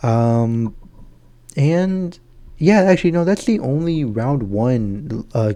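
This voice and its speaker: Quiet and very slow, a man with a dark, mellow tone and a fairly high pitch speaks with very wide pitch swings and long, frequent pauses. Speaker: gaming YouTuber. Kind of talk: casual chat. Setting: at home.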